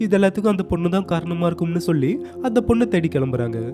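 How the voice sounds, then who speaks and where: Music plays in the background as a man talks in a high pitch with very wide pitch swings. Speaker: narrator. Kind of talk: cartoon story recap narration. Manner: casual, conversational.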